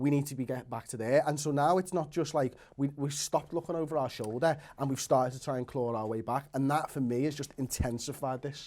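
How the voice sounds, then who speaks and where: A man with a plain, everyday voice and a fairly high pitch speaks at a fairly quick pace with hardly any pauses, in a very clean recording with a silent background. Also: fairly even intonation. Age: 30s. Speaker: football fan pundit. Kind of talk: casual debate.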